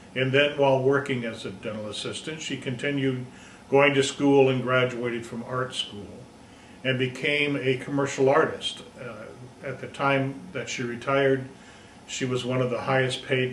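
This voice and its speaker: At a moderate pace, a man with an American accent speaks in a medium-pitched, flat monotone, with noticeable background noise and audible room echo. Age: 60s. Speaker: high school teacher. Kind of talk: personal presentation. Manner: halting.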